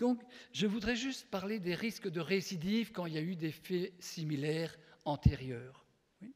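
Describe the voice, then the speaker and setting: Speaking at a high pitch, a man uses lively intonation and big swings in loudness. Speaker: psychopedagogue and association founder, conference speaker. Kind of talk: conference talk. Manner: fast.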